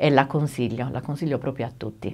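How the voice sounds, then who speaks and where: This woman's voice has a very deep, low pitch. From Italy, San Basilio; Italy. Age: 50s. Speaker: dental patient. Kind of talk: testimony. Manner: halting. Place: studio.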